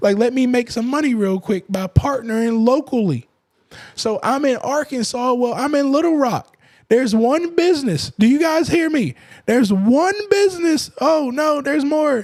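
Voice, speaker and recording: A man's extremely high voice with lively intonation at a moderate pace. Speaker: government contracting coach. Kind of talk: live-stream tutorial. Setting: live stream. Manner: casual.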